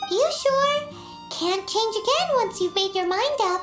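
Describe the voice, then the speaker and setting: A squeaky, put-on character voice at an extremely high pitch talks at a fairly slow pace while clear music plays in the background. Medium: video game. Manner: refers to self in third person.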